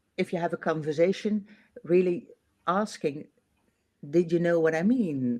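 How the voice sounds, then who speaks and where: A woman with a Dutch accent talks at a fairly slow pace, her fairly low voice dark and mellow. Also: very clean recording, silent background. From Netherlands. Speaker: manager. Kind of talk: casual interview chat. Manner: hesitant, many fillers.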